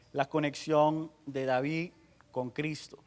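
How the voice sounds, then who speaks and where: Very slowly, a man with an English accent speaks at a fairly high pitch. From United States. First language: English (speaking Spanish). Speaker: pastor. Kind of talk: sermon. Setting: church conference with audience. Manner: halting.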